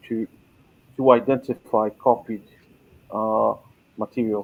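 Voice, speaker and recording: In a Portuguese accent, a man speaks at a medium pitch with monotone, flat intonation. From Brazil. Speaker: scholarship holder and English teacher. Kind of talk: webinar presentation. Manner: conversational with many fillers.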